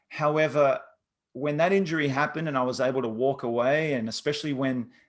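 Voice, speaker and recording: A man talks with an Australian accent at a fairly quick pace. His pitch is fairly high, with ordinary pitch variation. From Australia, Sydney. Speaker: former pro athlete turned coach. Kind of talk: interview. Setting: video call.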